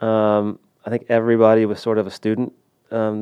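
Here is a man with an ordinary speaking voice and an American accent. He talks at a medium pitch and a fairly quick pace. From Texas, Houston suburb. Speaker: soccer coach. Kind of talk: interview.

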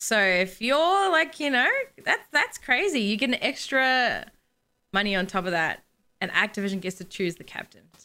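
With an Australian accent, a woman speaks in a high voice with a bright, sharp tone. Her pitch swings very widely. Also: moderate pace. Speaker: gaming podcast co-host, competitive gamer. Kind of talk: casual chat.

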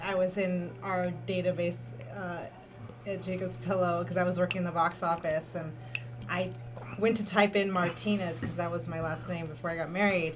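A woman with a Californian accent talks at a fairly quick pace in a fairly low voice with ordinary pitch variation. Noticeable background noise runs underneath. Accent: Californian American. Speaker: arts community manager. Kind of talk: casual chat. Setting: studio.

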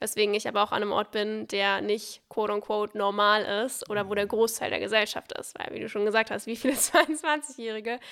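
Vocal fry at a fairly quick pace, with ordinary pitch variation. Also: woman, very clean recording, silent background. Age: 20s. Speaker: social media entrepreneur. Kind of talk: casual chat. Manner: charming.

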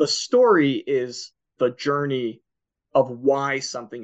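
With an American accent, a man talks at a fairly high pitch with ordinary pitch variation. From Philadelphia, US. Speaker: comic book writer and sales manager. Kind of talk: casual interview.

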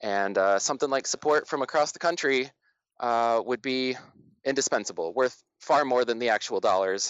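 At a moderate pace, a man with an American accent and medium pitch talks with ordinary pitch variation and very even loudness. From Flint, Michigan. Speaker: community project founder. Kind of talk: interview.

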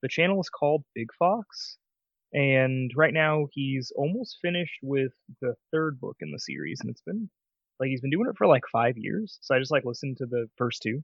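A man speaks quietly at a moderate pace, his fairly high pitch carrying lively intonation. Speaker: podcast co-host. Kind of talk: casual chat. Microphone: mic very close to mouth.

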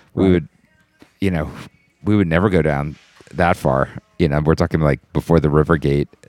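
Music plays in the background. A man's voice comes through dry and close with no echo. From New Orleans. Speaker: jazz musician. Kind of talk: casual chat. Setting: studio.

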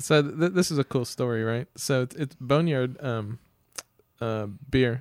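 It is a plain, everyday voice belonging to a man. He keeps a moderate pace, and his pitch varies in an ordinary way. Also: dry, close sound with no echo. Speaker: podcast co-host. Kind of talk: casual chat. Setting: studio.

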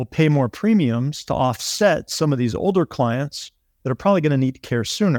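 In a very clean recording with a silent background and a dry, close sound with no echo, a man talks in a normal speaking voice at medium pitch, with lively intonation and a moderate pace. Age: 40s. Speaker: long-term care planning specialist. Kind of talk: explanatory interview talk.

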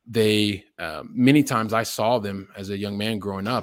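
A man with an American accent speaks in an unremarkable speaking voice at a fairly low pitch. His intonation is fairly even, and the sound is dry and close with no echo. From US Midwest and Texas (Columbus, Ohio). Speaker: real estate investor and coach. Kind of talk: podcast interview.

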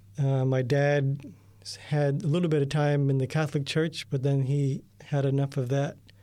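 A man with an American accent speaks at a fairly slow pace in a fairly high pitch. His tone is dark and mellow, and his intonation is monotone and flat. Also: very clean recording, silent background. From US, New York State. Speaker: radio editor. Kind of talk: testimony. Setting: studio.

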